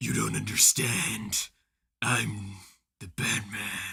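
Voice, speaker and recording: Putting on a raspy character voice, a man speaks at a fairly low pitch and a very slow pace. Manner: gruff.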